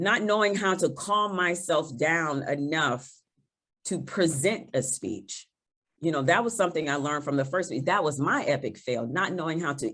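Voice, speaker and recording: On a very clean recording with a silent background, a woman speaks at a moderate pace with a very deep, low pitch. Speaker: toastmasters competitor on a panel. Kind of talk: panel discussion.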